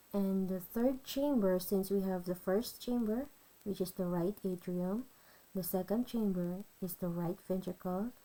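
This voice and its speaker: A woman's dark, mellow tone with a non-native accent, medium pitch, ordinary pitch variation and a fairly slow pace. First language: not English. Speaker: nursing student. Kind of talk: educational tutorial explanation.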